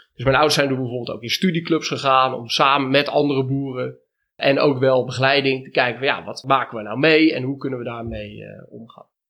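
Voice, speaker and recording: Speaking fairly quickly in an ordinary speaking voice, a man keeps a medium pitch and fairly even intonation while his loudness swings widely. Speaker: dairy and cheese farmer. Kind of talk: interview conversation. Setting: on location at the farm.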